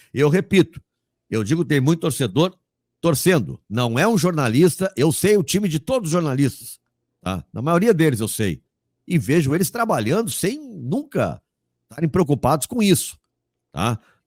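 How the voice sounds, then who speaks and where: On a very clean recording, silent background, with a dry, close sound with no echo, a man with a fairly high pitch, vocal fry and an animated tone speaks at a moderate pace, his pitch swinging very widely between long, frequent pauses. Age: 60s. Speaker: sports journalist and commentator. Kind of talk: interview.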